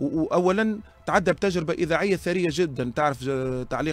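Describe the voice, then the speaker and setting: A man's high voice at a fairly quick pace with ordinary pitch variation. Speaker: sports broadcaster. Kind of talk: interview.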